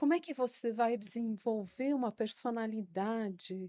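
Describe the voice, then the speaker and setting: At a very slow pace, a woman speaks in a high voice. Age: 60s. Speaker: retired secretary and teacher. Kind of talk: interview.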